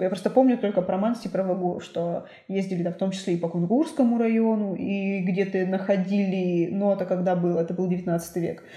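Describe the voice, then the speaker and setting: A woman's unremarkable speaking voice, medium in pitch, with fairly even intonation and a moderate pace. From Perm Krai, Russia (Suksun district). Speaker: museum director. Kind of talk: casual chat.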